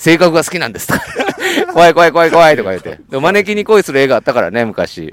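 A man talks very fast in a high voice. His intonation is lively and his loudness swings widely. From Kansai. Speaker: podcast host. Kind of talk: casual chat. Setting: outdoors on a walk. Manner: animated, frequent laughter.

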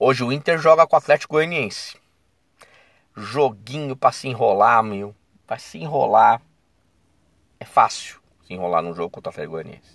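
Marked by vocal fry and an animated tone, this voice swings widely in pitch and heavily in loudness, with long, frequent pauses and a dry, close sound with no echo. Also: man, medium pitch for a man, moderate pace. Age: 40s. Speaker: football commentator podcaster. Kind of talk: casual solo commentary. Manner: animated, conversational.

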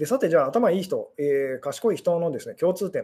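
A man at a fairly quick pace. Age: 40s. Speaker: fortune teller and love psychology streamer. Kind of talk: solo live stream talk. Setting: live stream. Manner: fast. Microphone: unstable connection.

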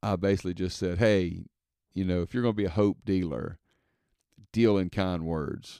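A man with a Mississippi accent speaks at a moderate pace in a very deep, low pitch, his tone dark and mellow, with ordinary pitch variation and long, frequent pauses, the sound dry and close with no echo. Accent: Southern US (Mississippi). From Mississippi, US South. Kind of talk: casual monologue. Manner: hesitant, many fillers.

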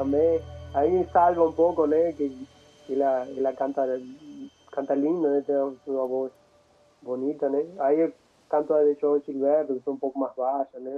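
Speaking at a moderate pace with long, frequent pauses, a man uses a fairly high voice and fairly even intonation. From Argentina, Entre Ríos. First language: Spanish (speaking Portuguese). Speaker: musician. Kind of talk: casual interview. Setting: live stream. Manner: halting, mixing Spanish and Portuguese.

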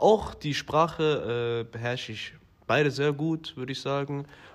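A man's lively intonation at a fairly slow pace. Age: 20s. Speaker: business developer. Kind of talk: interview. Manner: hesitant, many fillers.

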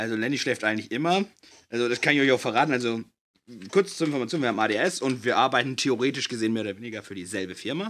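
Very fast, lively speech from a man at a medium pitch, on a very clean recording with a silent background. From Bavaria, family from NRW. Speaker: podcast co-host, trainee in IT. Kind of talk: casual chat.

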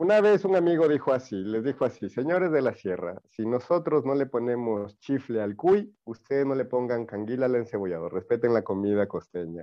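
Very wide pitch swings mark this fairly quick speech. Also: man, medium pitch for a man. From Ecuador, Manabí coast. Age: 30s. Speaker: TikTok content creator. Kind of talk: casual interview.

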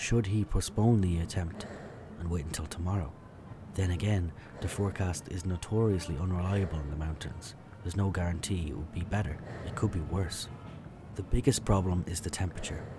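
Noticeable background noise sits behind a man with a very deep, low pitch. He speaks at a fairly quick pace with ordinary pitch variation. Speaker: documentary narrator. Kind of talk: sports documentary narration, scripted and storytelling. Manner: measured, vivid, storytelling delivery.

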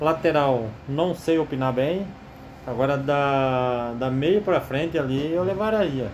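A man talks at a very slow pace with very even loudness and ordinary pitch variation. Noticeable background noise and audible room echo fill the recording. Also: fairly high pitch for a man. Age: 40s. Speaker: football commentator among coworkers. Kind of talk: casual chat.

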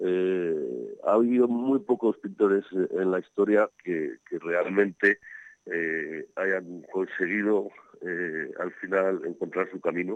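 The voice belongs to a man who speaks very slowly. It sounds dry and close-miked, without any echo. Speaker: architect and art commentator. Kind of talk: casual chat. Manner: halting.

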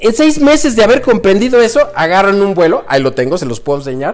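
A man talks fairly fast, with noticeable noise in the background. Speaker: airline pilot turned entrepreneur. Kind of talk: casual chat. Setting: living room at home.

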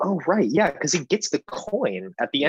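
Talking at a very fast pace, a man with an American accent makes very wide pitch swings, with vocal fry. The sound is dry and close, without echo. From San Diego, California. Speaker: podcast guest, musical theatre actor. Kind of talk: casual chat.

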